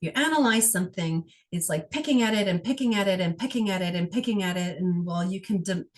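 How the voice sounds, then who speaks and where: Talking at a very fast pace, a woman uses lively intonation in a somewhat breathy voice. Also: medium pitch for a woman. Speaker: energy healer. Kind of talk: guided healing session.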